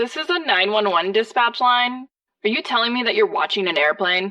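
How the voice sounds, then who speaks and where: Putting on a character voice, a woman talks at a fairly quick pace with a fairly high pitch. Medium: comedy sketch. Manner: deadpan, patient.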